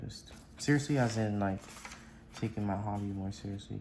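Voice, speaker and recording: The voice is quiet and moves at a moderate pace. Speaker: origami and art YouTuber. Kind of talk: tutorial. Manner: quiet, low volume because it is midnight; casual, hesitant with many fillers.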